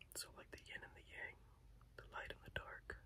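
Light background noise sits under the recording. A man talks at a moderate pace. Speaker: reiki healer. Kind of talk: reiki healing session, relaxing guided talk. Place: home room. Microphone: phone near.

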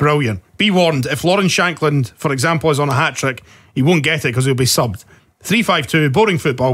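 Very fast speech in a Scottish accent, with lively intonation, very even loudness and a quiet background. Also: man. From Scotland. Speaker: podcast host. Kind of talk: casual chat. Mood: jovial, laughing. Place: studio. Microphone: studio mic.

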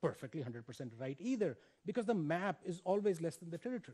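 A man with a high pitch and a dark, mellow tone, recorded against a quiet background. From India. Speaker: education professor. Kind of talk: invited lecture. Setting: stage with audience. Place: stage. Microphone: headset.

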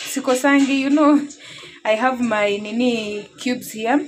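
A woman talks at a fairly slow pace, with light background noise behind her. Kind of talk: casual cooking tutorial. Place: kitchen. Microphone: phone near.

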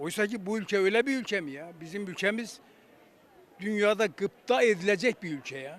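Pitch swings very widely as a man talks at a moderate pace. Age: 80s. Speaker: retired police officer. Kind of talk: street interview answer. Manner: emotional, indignant.

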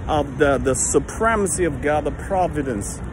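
Crowd noise fills the background while a man talks at a moderate pace, his voice dry with no echo. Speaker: lay preacher. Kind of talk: sermon-like casual vlog talk. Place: street. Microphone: phone near.

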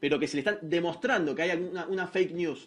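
Talking at a very fast pace, a man speaks with a Rioplatense accent. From Argentina. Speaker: social media page creator. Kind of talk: casual panel discussion, reading from notes. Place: studio.

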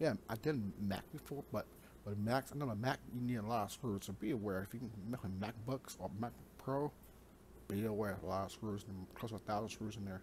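A man speaks at a fairly quick pace in a fairly low pitch. His voice is somewhat breathy, with ordinary pitch variation. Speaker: gaming YouTuber. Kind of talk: casual vlog monologue. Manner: fast talker; talkative, rambling.

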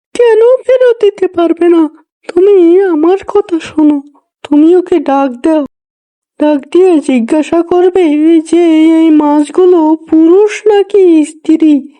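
Using a cartoonish character voice, a woman speaks at a fairly slow pace in an extremely high pitch with ordinary pitch variation, the sound dry and close with no echo. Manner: bossy, persuasive.

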